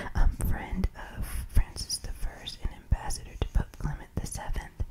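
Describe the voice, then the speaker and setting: A woman is whispering at a fairly slow pace. Behind her, background noise is noticeable. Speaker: ASMR reader. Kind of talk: whispered book reading for sleep. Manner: whispered, soft-spoken.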